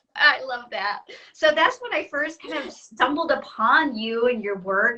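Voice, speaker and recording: This speaker has an American accent and talks at a moderate pace. The tone is animated, with lively intonation. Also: woman. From US South. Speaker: artist and online art teacher. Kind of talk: casual interview on a live stream. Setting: live video stream from a computer.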